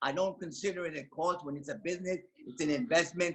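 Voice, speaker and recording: Fairly quick pace with ordinary pitch variation. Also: man. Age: 70s. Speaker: network marketing business owner. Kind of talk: testimony. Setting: video call.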